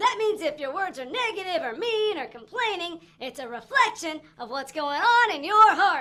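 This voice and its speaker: This cartoonish character voice sits at an extremely high pitch, moving at a moderate pace with hardly any pauses. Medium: puppet. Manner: eager.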